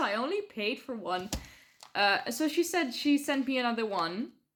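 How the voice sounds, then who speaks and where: Speech at a moderate pace with very wide pitch swings comes in a Dutch accent. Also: woman. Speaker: book vlogger. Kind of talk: casual vlog. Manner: hesitant, many fillers.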